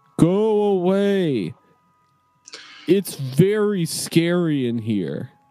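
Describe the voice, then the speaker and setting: A man in a put-on character voice, high in pitch, at a very slow pace with long, frequent pauses. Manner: warning, trying to scare.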